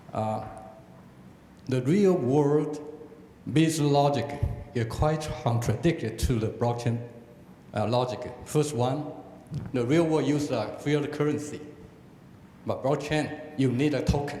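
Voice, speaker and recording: Amid noticeable background noise and audible room echo, a man with a fairly high pitch and ordinary pitch variation talks at a fairly slow pace, leaving long, frequent pauses. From Taiwan. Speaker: audience member asking a question. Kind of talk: Q&A question. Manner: halting.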